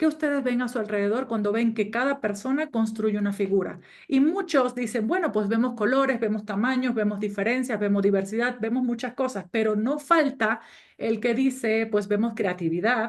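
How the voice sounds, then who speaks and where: Speaking at a moderate pace with a Cuban accent, a woman uses a fairly high pitch and ordinary pitch variation against a quiet background. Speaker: business coach and trainer. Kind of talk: online course lecture.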